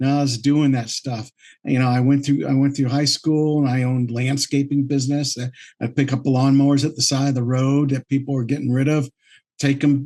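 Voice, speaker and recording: Monotone, flat intonation marks this man's fairly high-pitched voice as he speaks at a moderate pace. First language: French. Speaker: entrepreneur. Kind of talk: interview. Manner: halting, many fillers and repeats.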